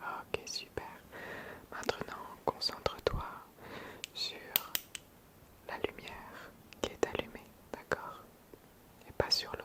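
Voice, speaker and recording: Whispering in a calm tone at a very slow pace, with long, frequent pauses over noticeable background noise. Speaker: ASMR creator. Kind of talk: ASMR roleplay, sleep instructions to camera. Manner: soft-spoken, calm, slow.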